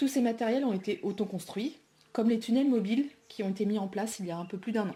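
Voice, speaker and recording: Very fast and somewhat breathy, a woman talks in a dark, mellow tone. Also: ordinary pitch variation. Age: 30s. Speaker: aspiring market gardener. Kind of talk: project presentation. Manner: hesitant, many fillers.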